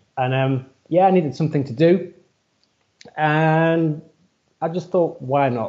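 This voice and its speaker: A man with a British accent speaks at a fairly slow pace with fairly even intonation and long, frequent pauses over a quiet background. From UK. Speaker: running and strength coach. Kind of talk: casual interview conversation. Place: home room. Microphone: headset.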